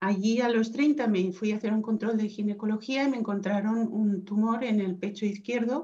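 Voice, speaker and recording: A woman's somewhat breathy, dark, mellow voice, fairly high in pitch, at a moderate pace with fairly even intonation. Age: 50s. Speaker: cancer survivor. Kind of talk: interview.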